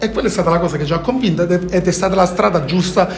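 Amid audible room echo and noticeable background noise, a man with a high pitch talks at a very fast pace. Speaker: content creator. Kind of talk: casual chat.

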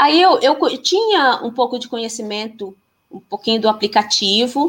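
A woman's high-pitched voice at a fairly slow pace, with very wide swings in pitch. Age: 40s. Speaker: physical education teacher and women's circle facilitator. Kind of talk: casual interview on a live stream. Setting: live stream video call.

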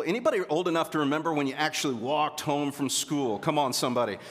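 There is noticeable background noise behind a man's voice. He speaks fairly quickly at a fairly high pitch. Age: 40s. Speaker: pastor. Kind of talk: sermon. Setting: church. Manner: animated.

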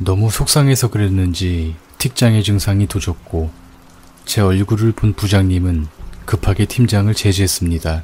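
The voice is somewhat breathy, with a dark, mellow tone. Its loudness is very even and its pitch variation ordinary. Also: man, fairly low pitch for a man. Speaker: horror radio narrator. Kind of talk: ghost story telling. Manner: hushed, slow, eerie narration.

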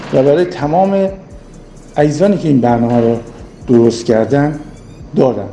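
A man's fairly high, lively voice at a fairly quick pace, with audible room echo and noticeable background noise. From Iran, Mashhad (Khorasan). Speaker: former basketball player. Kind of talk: recorded personal testimony.

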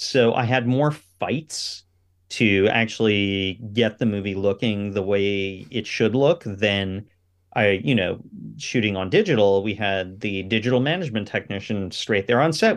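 Here is a normal speaking voice from a man, fairly low in pitch with ordinary pitch variation. He keeps a moderate pace against a quiet background. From Canada, Ottawa. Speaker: cinematographer and film director. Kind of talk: interview.

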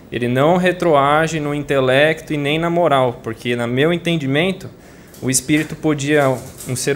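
Amid noticeable background noise and audible room echo, a man with a fairly high pitch speaks at a fairly slow pace with fairly even intonation. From São Paulo city, Brazil. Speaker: audience member asking a question. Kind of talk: audience question at a spiritual lecture.

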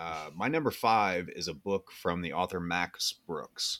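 American accent from a man, pitch varying in an ordinary way. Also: very clean recording, silent background. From Iowa (Keokuk area). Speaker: podcast host. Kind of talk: casual chat.

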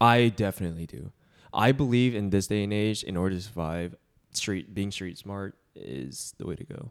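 An unremarkable speaking voice moves at a moderate pace with lively intonation and big swings in loudness. The recording is very clean, with a silent background. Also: man, fairly low pitch for a man. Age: 20s. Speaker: podcast co-host. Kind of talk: casual chat.

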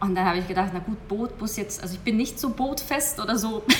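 A woman talks at a very fast pace. Noticeable background noise and audible room echo fill the clip. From Hungary. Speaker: hypnosis coach. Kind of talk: interview.

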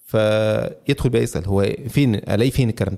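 A man with an Egyptian accent speaks in a dark, mellow tone. His intonation is lively, and his pace is moderate. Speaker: podcaster. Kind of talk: interview.

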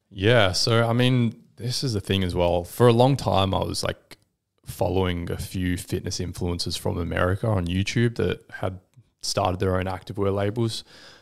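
A man with a very deep, low pitch, fairly even intonation and an Australian accent. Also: moderate pace. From Western Australia, Perth. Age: 20s. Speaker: entrepreneur. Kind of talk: casual interview.

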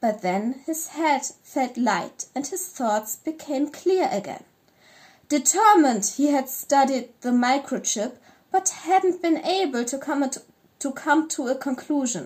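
A woman with a high pitch and lively intonation speaks at a fairly slow pace. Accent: German. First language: German. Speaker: podcast co-host and fiction writer. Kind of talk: casual chat; reading aloud.

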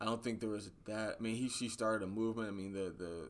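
Rushing along at a very fast pace, a man speaks with a fairly low pitch and monotone, flat intonation. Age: 20s. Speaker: political podcast co-host. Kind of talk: casual chat.

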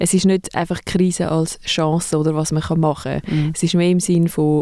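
This woman's delivery is fairly slow. Her pitch stays flat and monotone throughout. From Zurich, Switzerland. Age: 30s. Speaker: museum co-director. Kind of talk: casual interview.

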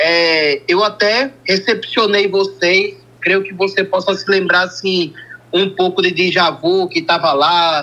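In a northeastern Brazilian accent, a man with a high pitch uses a raised, projected voice, a bright, sharp tone, fairly even intonation and a very slow pace. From Brazil, Northeast. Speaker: caller, fan. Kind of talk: phone-in. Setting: phone call.

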